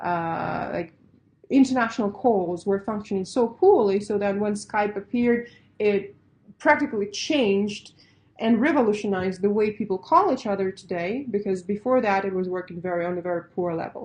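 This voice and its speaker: A woman with a Russian accent speaks at medium pitch and a moderate pace, with ordinary pitch variation. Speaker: pitch coach. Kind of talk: webinar lecture. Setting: online webinar. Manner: casual, conversational with fillers.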